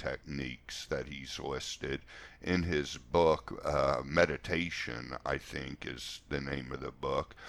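Over a silent background on a very clean recording, a man speaks at a fairly slow pace with vocal fry. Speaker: spiritual coach and podcast host. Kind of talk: solo podcast monologue. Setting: solo podcast recording. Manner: informal, conversational.

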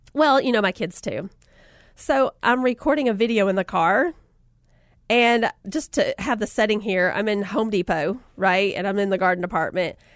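With a Southern US accent, a woman speaks at a moderate pace in an animated, warm tone and a fairly high pitch. The sound is dry and close with no echo, over a quiet background. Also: lively intonation. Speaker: podcast host and author. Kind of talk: casual chat, encouraging talk. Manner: animated, warm, chatty.

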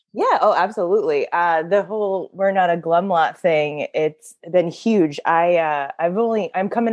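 A woman with an ordinary speaking voice talks at a fairly slow pace, her fairly low pitch showing ordinary pitch variation. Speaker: guest, AA sponsor and Instagram account host. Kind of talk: casual interview chat.

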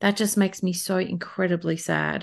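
A woman with an Australian accent speaks at a fairly slow pace and a medium pitch against a quiet background. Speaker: podcast host and beauty workshop facilitator. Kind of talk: solo podcast monologue. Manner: informal, conversational.

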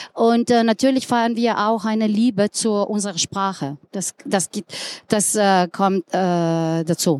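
In a Slovenian accent, a woman of medium pitch speaks at a very slow pace with ordinary pitch variation, the sound dry and close with no echo. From Slovenia, Ljubljana. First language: Slovenian (speaking German). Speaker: tourism director. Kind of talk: panel talk. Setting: live audience at trade fair. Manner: halting.

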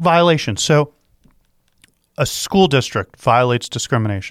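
An animated tone at a moderate pace, dry and close with no echo, on a very clean recording with a silent background. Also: man. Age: 40s. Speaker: talk radio host and attorney. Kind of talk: casual talk radio discussion. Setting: studio.

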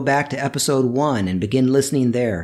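A man with a plain, everyday voice speaks at a fairly quick pace in a medium pitch, his intonation lively, on a very clean recording with a silent background. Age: 50s. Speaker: podcast host, Bible study teacher. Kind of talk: reflective monologue.

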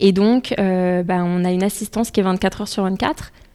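At a fairly slow pace, a woman with an ordinary speaking voice talks at a medium pitch with fairly even intonation. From Paris suburbs, France (Essonne). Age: 20s. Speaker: company country director. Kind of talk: interview conversation.

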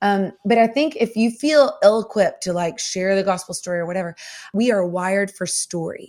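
Talking at a fairly quick pace, a woman with a Southern US accent uses medium pitch and ordinary pitch variation. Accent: Southern American. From US South. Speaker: singer-songwriter and author. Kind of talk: faith podcast interview.

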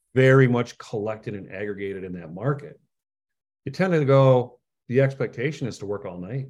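A man's unremarkable speaking voice with an American accent, medium pitch and lively intonation, on a very clean recording with a silent background. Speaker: career coach, fractional work advocate. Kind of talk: interview.

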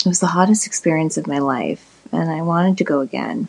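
A woman's fairly low pitch with a dark, mellow tone, at a moderate pace. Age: 40s. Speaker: listener with a question. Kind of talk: read-out listener question.

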